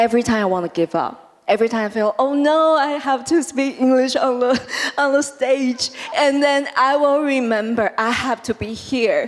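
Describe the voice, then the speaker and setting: A woman's high-pitched voice at a moderate pace with ordinary pitch variation, against noticeable background noise. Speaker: startup founder, panelist. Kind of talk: panel discussion. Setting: stage with audience.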